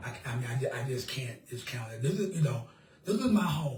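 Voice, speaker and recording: A man's fairly high, somewhat breathy voice at a moderate pace, with audible room echo. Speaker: political candidate. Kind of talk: interview.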